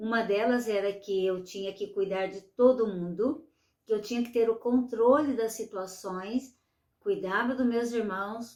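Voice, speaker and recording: A woman's ordinary speaking voice, fairly high in pitch, at a fairly slow pace with ordinary pitch variation. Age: 60s. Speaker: retired nurse, aging coach. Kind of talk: online masterclass lecture.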